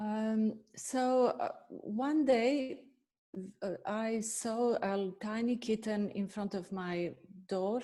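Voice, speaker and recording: This woman has a dark, mellow tone and a medium pitch. She speaks with a Bosnian accent. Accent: Bosnian accent, still noticeable. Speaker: veterinarian and animal nutritionist. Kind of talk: webinar self-introduction. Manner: halting, many fillers.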